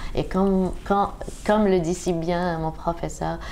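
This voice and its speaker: In a room with audible echo, a woman speaks very slowly at a fairly low pitch, her intonation monotone and flat and her tone dark and mellow. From Algeria. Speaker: opera singer. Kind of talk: interview. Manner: halting.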